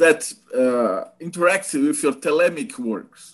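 Speech in a Portuguese accent swings very widely in pitch, with music in the background. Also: man. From Brazil. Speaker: podcast host. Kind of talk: interview. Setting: video call. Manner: halting.

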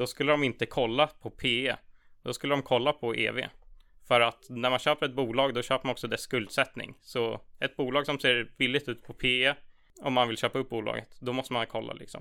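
A man with a bright, sharp tone and vocal fry speaks in a monotone, flat intonation on a very clean recording with a silent background. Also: medium pitch for a man, moderate pace. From Sweden, Stockholm (Tyresö). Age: 20s. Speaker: student investment club chair. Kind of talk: casual interview about finance.

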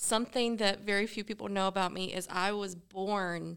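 A plain, everyday voice, neither fast nor slow, with ordinary shifts in pitch, captured very cleanly in complete silence. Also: woman. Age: 20s. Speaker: podcast producer. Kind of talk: casual chat.

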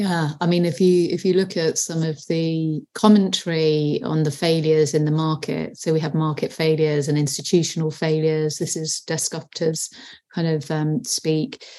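A woman with a very deep, low pitch and a dark, mellow tone talks with hardly any pauses. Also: fairly even intonation, moderate pace. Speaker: sustainability podcast founder, consultant.

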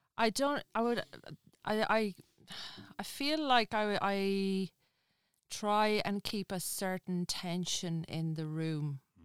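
A woman with an Irish accent at a medium pitch, very slow in pace, with long, frequent pauses and lively intonation. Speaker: comedian and actress. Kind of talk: casual interview chat. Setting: studio.

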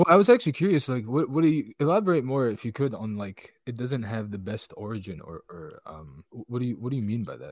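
Talking at a very fast pace with hardly any pauses, a man at medium pitch makes very wide pitch swings and big swings in loudness. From Egypt. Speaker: digital artist. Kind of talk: casual chat.

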